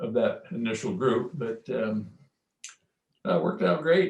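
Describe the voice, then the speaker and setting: A man with an American accent, very wide pitch swings and vocal fry. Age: 70s. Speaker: real estate broker, company founder. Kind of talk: casual interview. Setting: live-streamed podcast interview.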